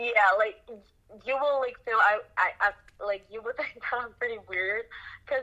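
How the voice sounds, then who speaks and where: A woman with a Chinese accent speaks in a bright, sharp tone at a moderate pace with ordinary pitch variation. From eastern China. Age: 20s. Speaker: singer and student. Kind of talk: casual chat. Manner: halting.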